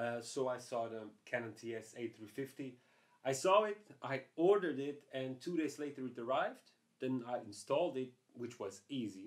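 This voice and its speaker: A man speaks at a moderate pace with lively intonation over a quiet background. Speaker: photography vlogger. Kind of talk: casual vlog chat. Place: home room.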